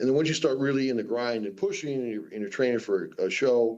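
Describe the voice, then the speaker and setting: An ordinary speaking voice from a man with an American accent, pitched medium, with ordinary pitch variation. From US Southwest, Phoenix. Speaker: professional strongman. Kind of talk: radio interview.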